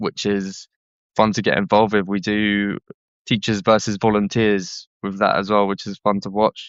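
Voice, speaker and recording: Speaking in a Southeast London accent, a man with a fairly low pitch keeps a monotone, flat intonation at a moderate pace. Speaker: charity worker. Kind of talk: podcast interview. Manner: casual, hesitant.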